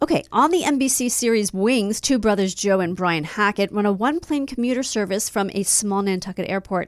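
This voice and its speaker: A woman talks in a plain, everyday voice at a fairly quick pace and medium pitch. Her intonation is lively while her loudness stays very even. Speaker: podcast co-host. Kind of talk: casual chat. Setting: studio.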